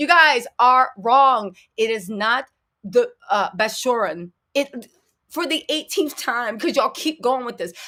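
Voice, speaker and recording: A woman speaks in a high voice with a bright, sharp tone. She sounds animated, and her intonation is lively. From United States. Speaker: celebrity gossip commentator. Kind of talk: live stream commentary. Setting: live stream. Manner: lowered volume.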